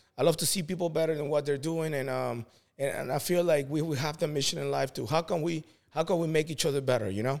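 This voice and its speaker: Talking at a very fast pace, a man uses a fairly high pitch. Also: ordinary pitch variation. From Peru. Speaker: veteran and real estate agent. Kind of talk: casual interview chat.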